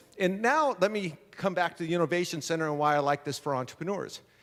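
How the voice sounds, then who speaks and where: In a very clean recording with a silent background, a man speaks loudly and fairly quickly in an animated tone. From San Diego, California. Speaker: entrepreneur and speaker. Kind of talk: motivational talk. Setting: stage with audience.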